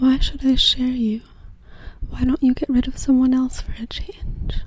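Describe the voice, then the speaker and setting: Soft-spoken and high-pitched, a woman talks with fairly even intonation over noticeable background noise. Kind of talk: poetry reading.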